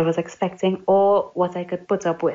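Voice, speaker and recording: Speaking with a Trinidadian accent, a woman keeps a medium pitch, a moderate pace and fairly even intonation. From Trinidad and Tobago. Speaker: English teacher. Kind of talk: interview.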